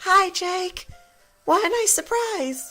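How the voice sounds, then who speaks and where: Over faint music in the background, someone uses a put-on character voice at an extremely high pitch. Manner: sweet, polite.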